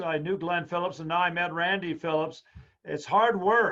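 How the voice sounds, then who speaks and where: A high-pitched male voice at a moderate pace with fairly even intonation. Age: 80s+. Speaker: history professor giving a lecture. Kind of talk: Q&A after a lecture webinar. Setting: video call webinar.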